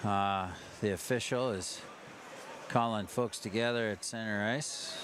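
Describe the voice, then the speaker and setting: A man talks at a fairly slow pace, his pitch fairly low and his intonation fairly even. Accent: American. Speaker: ice hockey commentator. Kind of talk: live sports commentary. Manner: casual, hesitant with fillers.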